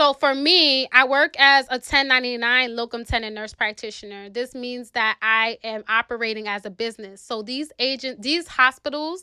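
Recorded very cleanly with a silent background and a dry, close sound without echo, a woman with a New York accent speaks at a moderate pace in a high, bright, sharp voice with ordinary pitch variation. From New York City, South Bronx. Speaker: nurse practitioner. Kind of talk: casual interview.

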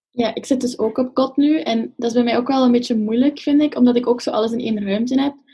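A woman with a high pitch and a dark, mellow tone talks very fast with fairly even intonation. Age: 20s. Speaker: psychology student. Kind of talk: casual chat.

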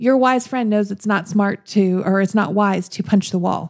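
Using a plain, everyday voice, a woman speaks at medium pitch and a moderate pace with fairly even intonation. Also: dry, close sound with no echo. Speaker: podcast co-host. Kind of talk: casual chat.

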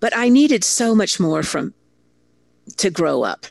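A woman's medium-pitched voice in an American accent, with vocal fry and very wide pitch swings, recorded dry and close with no echo. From Italy (American family abroad). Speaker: storytelling consultant and keynote speaker. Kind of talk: interview.

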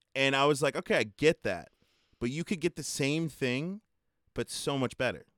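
A man with an American accent speaks at a moderate pace and fairly high pitch, his animated tone carrying ordinary pitch variation in a very clean, dry, close recording with no echo and a silent background. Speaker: podcast host. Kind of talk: casual chat.

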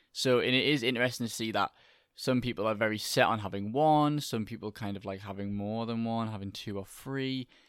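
Fairly even intonation shapes a man's unremarkable speaking voice at a medium pitch. The recording is very clean, with a silent background. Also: fairly quick pace. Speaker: podcast host. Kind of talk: casual chat.

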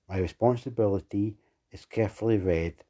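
In a quiet background, a man speaks at a moderate pace. His fairly low voice has a dark, mellow tone and fairly even intonation. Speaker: prayer leader. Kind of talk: fervent prayer. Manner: earnest, pleading; steady, declarative.

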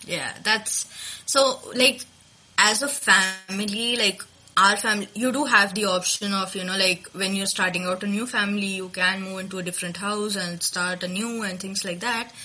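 Against noticeable background noise, a woman with a medium pitch speaks at a moderate pace with fairly even intonation. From India, Maharashtra (Nagpur). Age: 20s. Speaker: podcast host, guest on culture show. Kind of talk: casual interview.

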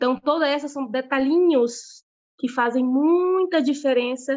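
Her pitch high and varying in an ordinary way, a woman speaks at a fairly slow pace. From Brazil, Piauí. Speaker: veterinarian and pig farm manager. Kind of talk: interview.

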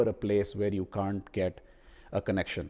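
Someone speaks fairly quickly with an Indian accent. The tone is dark and mellow. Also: man. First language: Hindi. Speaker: podcast host, product marketer. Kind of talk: casual chat. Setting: remote call.

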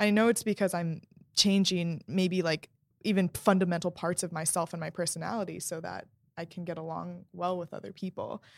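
With an American accent and an unremarkable speaking voice, a woman talks at a fairly quick pace in a fairly low pitch, her intonation fairly even but her loudness swinging widely, on a very clean recording with a silent background and a dry, close sound with no echo. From New York City, Queens. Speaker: podcast guest, host's younger sister. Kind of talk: casual chat.

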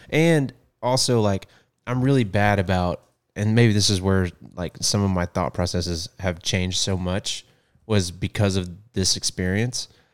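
A man with a fairly low pitch talks at a moderate pace in a normal speaking voice, with ordinary pitch variation. The recording is very clean with a silent background and a dry, close sound with no echo. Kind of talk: casual conversational podcast chat. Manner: casual, laid-back.

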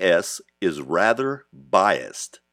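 A man's voice comes through dry and close with no echo, on a very clean recording with a silent background. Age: 60s. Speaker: podcast host. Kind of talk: monologue.

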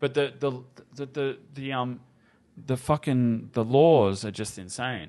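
A man with an Australian accent speaks in a dark, mellow tone. His pace is fairly slow, and the background is quiet. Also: medium pitch for a man, ordinary pitch variation. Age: 30s. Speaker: cannabis activist and entrepreneur. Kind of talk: casual chat. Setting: studio.

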